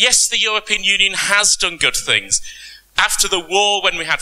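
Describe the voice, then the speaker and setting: High man's voice with a British accent, fairly even intonation and a moderate pace, over noticeable background noise. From Britain. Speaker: panelist, tax law lecturer. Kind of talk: conference panel talk.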